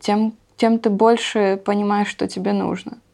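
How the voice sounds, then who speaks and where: A woman's fairly high voice at a very slow pace. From Ukraine, Luhansk region. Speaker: emigrant sharing life abroad. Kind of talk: interview.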